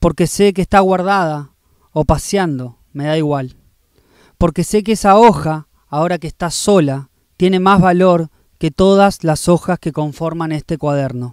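The man speaks at a fairly slow pace in a high pitch with ordinary pitch variation. The sound is dry with no echo over a quiet background. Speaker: poet. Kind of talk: spoken-word poetry reading. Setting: poetry festival reading. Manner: rhythmic, incantatory delivery with repeated refrains; intimate, reflective, tender. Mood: calm, reflective, intimate. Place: garden. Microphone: handheld.

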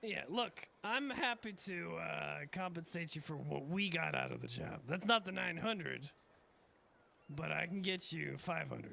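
In a put-on character voice, a man speaks raspy and high-pitched at a fairly slow pace, with long, frequent pauses. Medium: game stream. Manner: breezy, casual, sweary.

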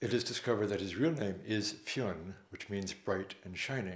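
Moderate pace with audible room echo. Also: man. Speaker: storyteller. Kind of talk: storytelling introduction. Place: home room.

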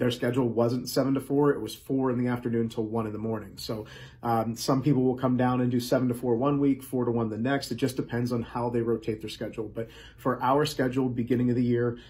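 Over light background noise, a man talks at a very fast pace in monotone, flat intonation. His tone is dark and mellow, and somewhat breathy. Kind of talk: casual vlog chat. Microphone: phone near.

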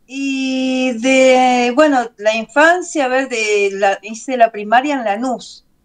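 Over a quiet background, a high-pitched woman talks at a very slow pace with ordinary pitch variation. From Buenos Aires, Argentina; Argentina. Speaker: doll maker and craft teacher; craft teacher. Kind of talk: casual interview chat. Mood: relaxed, animated storytelling. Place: home room. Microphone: video call.

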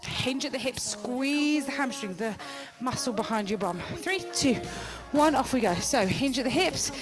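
Clear music plays in the background. Over it, a woman with a high pitch talks at a fairly slow pace. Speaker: fitness instructor. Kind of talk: exercise class instruction. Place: gym. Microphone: headset.

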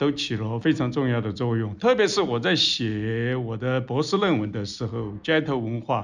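A man talks in an ordinary speaking voice at a medium pitch with ordinary pitch variation. His moderate pace has hardly any pauses, over a quiet background. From Sichuan. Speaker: historian. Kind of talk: interview discussion.

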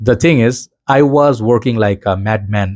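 Over a quiet background, a man speaks at a fairly low pitch in a dark, mellow tone. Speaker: perfume reviewer. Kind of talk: casual vlog chat. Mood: warm, reflective. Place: home room.

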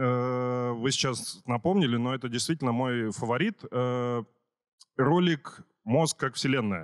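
With a quiet background behind him, a man speaks at a fairly slow pace with ordinary pitch variation. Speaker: conference host. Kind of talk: casual chat. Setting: stage with audience. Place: hall.

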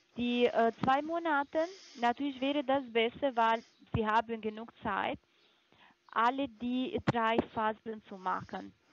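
A woman's high-pitched voice with a non-native accent, very slow pace, long and frequent pauses, ordinary pitch variation, and a dry sound with no echo. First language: not German (speaking German). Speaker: supplement sales caller; caller. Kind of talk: phone sales pitch. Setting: phone call. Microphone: phone line.

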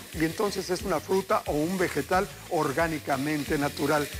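Over music in the background, a man speaks at a moderate pace in a high pitch with ordinary pitch variation. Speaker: TV cooking show host. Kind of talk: TV cooking tips monologue. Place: studio. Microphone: lapel.

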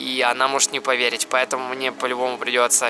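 Noticeable background noise sits under a man speaking at a moderate pace, the sound dry with no echo. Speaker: vlogger. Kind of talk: casual vlog chat. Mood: playful, scheming a prank. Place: street. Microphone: phone near.

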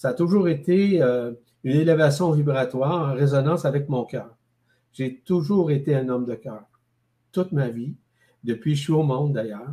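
A man talks at a moderate pace in a dark, mellow, somewhat breathy tone with ordinary pitch variation. He leaves long, frequent pauses. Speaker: guest. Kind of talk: interview answer. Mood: calm, reflective. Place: home room. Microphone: video call.

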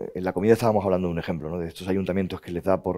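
The voice belongs to a man and has a dark, mellow tone. Nothing disturbs the quiet background. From Spain, Andalusia (Jerez); Andalusia, Spain. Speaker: museum director; interviewee. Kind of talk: interview conversation. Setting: stage with audience. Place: hall. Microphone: headset.

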